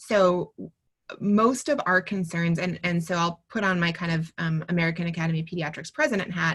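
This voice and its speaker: Fairly even intonation at a fairly quick pace. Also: woman, fairly low pitch for a woman. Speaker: pediatrician. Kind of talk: webinar Q&A. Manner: fast.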